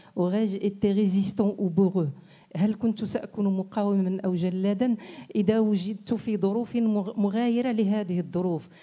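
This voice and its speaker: A woman speaks at a very slow pace in a dark, mellow tone and medium pitch. Her intonation stays fairly even and her loudness very even. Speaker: writer. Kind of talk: panel discussion.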